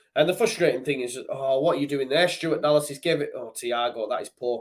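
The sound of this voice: Words come at a fairly quick pace. The pitch rises and falls in an ordinary way. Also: man, medium pitch for a man.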